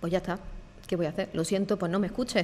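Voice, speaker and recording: A woman speaks in an Andalusian accent with ordinary pitch variation. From Andalusia, southern Spain. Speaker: e-learning and digital marketing professional. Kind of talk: podcast interview. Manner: hesitant, with fillers.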